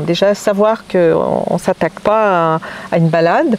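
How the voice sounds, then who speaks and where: A woman's voice rises and falls with ordinary pitch variation while noticeable background noise carries on. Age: 60s. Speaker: hiker interviewed about a trek. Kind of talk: casual interview.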